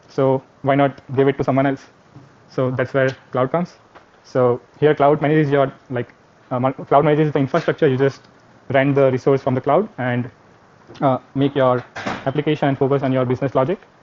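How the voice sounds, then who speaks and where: A man with a fairly high pitch speaks at a fairly quick pace in a monotone, flat intonation, leaving long, frequent pauses. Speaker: teaching assistant. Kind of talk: lab tutorial. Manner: halting, many fillers.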